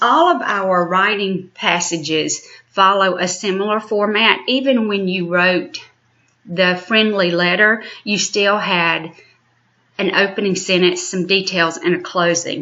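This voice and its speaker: A woman talks at a fairly slow pace in an ordinary speaking voice. Her pitch is medium and varies in an ordinary way. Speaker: elementary school teacher. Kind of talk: recorded lesson. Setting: home recording.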